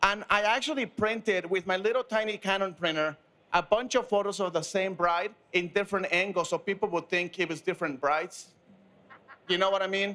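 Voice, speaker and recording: Projecting a raised voice with a bright, sharp tone, a man speaks at a fairly quick pace with ordinary pitch variation. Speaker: panelist. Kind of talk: panel discussion anecdote. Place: studio. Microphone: handheld.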